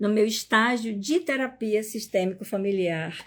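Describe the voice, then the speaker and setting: A woman is speaking. Her pace is fairly slow. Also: very clean recording, silent background. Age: 60s. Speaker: psychologist and family constellation teacher. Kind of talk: live stream talk. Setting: live stream.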